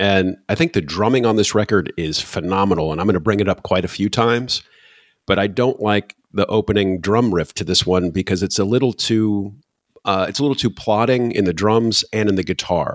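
A man with an American accent speaks at a fairly quick pace in an unremarkable speaking voice, his pitch fairly low. The pitch variation is ordinary, and the sound is dry and close with no echo. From Michigan, US Midwest. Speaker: podcast host, music fan. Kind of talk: casual chat.

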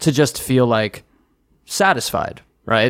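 A man speaks in a plain, everyday voice at medium pitch and a moderate pace, with ordinary pitch variation, on a very clean recording with a silent background. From New Jersey, US. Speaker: singer-songwriter. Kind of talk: casual interview chat.

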